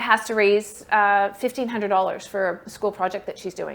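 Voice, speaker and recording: Speaking at a fairly quick pace, a woman keeps a medium pitch and fairly even intonation. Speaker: fundraising workshop presenter. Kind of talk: workshop talk. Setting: workshop room with online attendees. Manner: fast.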